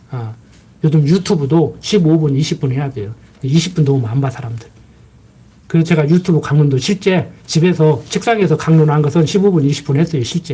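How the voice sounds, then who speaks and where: A man speaks at a fairly quick pace in a fairly high, somewhat breathy voice with a dark, mellow tone and ordinary pitch variation. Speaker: pastor. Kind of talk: sermon. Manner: fast.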